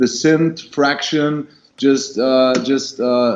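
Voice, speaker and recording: This is a man speaking. He has a German accent. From Germany. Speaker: rock band singer. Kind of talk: interview. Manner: halting, many fillers.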